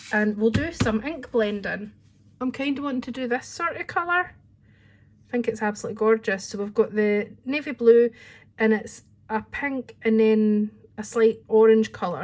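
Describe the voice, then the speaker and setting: In a Scottish accent, a woman speaks at a moderate pace with a fairly high, somewhat breathy voice and ordinary pitch variation. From Scotland. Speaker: crafting channel host, hairdresser. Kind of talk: tutorial. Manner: chatty, informal.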